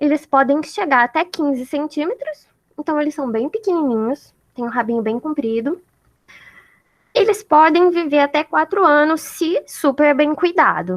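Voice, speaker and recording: At a moderate pace, a woman with a high pitch speaks with lively intonation. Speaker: student group leader teaching a class. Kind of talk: online lecture. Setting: video call.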